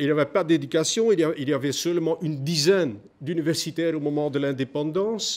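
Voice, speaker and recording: Here a man talks fairly fast, his pitch rising and falling an ordinary amount. There is no background sound at all, and the recording is very clean. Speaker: historian, conference speaker. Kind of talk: conference talk. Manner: halting, many hesitations.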